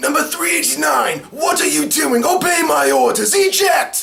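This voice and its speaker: Putting on a character voice, a man talks at an extremely high pitch and a moderate pace. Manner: commanding, barking orders.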